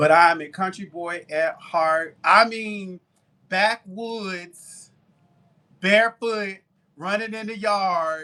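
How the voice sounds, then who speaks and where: Using a raised, projected voice with a Southern accent, a man speaks at a very slow pace with a high pitch, a bright, sharp tone, ordinary pitch variation and big swings in loudness. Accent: Southern, twangy. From US South (Tuskegee, Alabama). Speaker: baker and live-stream seller. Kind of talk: casual chat on live selling stream. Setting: live stream. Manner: chatty.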